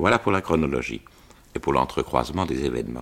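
A man is speaking. He keeps a moderate pace. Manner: measured, formal, clear diction, an explanatory storyteller.

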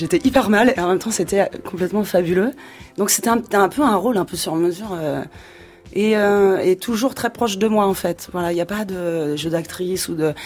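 A woman is speaking at a moderate pace. Her pitch shows ordinary variation. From provincial France. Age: 40s. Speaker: singer. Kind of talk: radio interview. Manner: casual, slangy.

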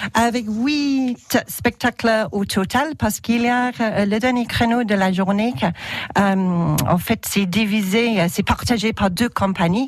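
In an English accent, a woman speaks very slowly with a fairly high pitch. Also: ordinary pitch variation, very even loudness. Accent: English-speaking accent in French. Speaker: theatre director. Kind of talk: radio interview. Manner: halting, many repetitions.

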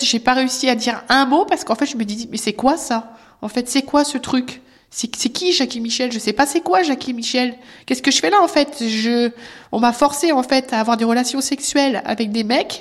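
A woman's high-pitched voice, with ordinary pitch variation, proceeds at a moderate pace. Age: 30s. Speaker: abuse survivor. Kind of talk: testimony. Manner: halting.

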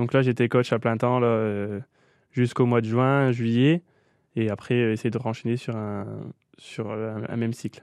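The man's pitch is medium and his intonation monotone and flat. He speaks at a fairly slow pace with long, frequent pauses. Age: 20s. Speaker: boules coach and player. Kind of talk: radio interview.

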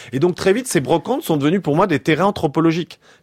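The sound is close and dry, without any echo. A man speaks very fast. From France. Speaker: historian. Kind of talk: radio interview.

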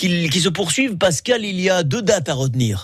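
This man talks at a moderate pace in a high register, his intonation lively. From Menton, French Riviera. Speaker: radio host. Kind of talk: live radio presenting. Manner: animated.

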